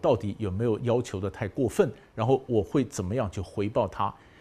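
A man's voice comes through somewhat breathy, with a dark, mellow tone. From Taiwan. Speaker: professor. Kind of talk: lecture. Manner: conversational, rhetorical questions. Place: studio.

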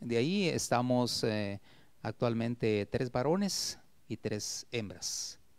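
A man speaks at a very slow pace with lively intonation, the sound dry with no echo. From Guatemala, Esquipulas; Guatemala. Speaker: retired teacher and poet; retired teacher, poet. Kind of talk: interview. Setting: TV studio. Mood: warm, reflective. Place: studio. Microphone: handheld.

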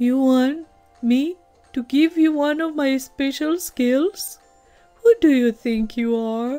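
A woman's put-on character voice over faint music in the background. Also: fairly slow pace. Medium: read story. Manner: proud, then warm and enthusiastic.

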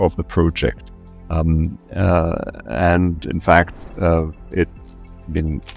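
A man speaks at a very slow pace. The sound is dry with no echo, with faint music in the background. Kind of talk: interview answer. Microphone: headset.

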